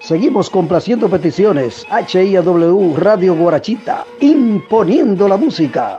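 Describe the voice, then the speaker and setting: A man with a high voice talks at a moderate pace. His intonation is lively, and faint music plays in the background. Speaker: radio announcer. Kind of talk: radio station announcement. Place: studio.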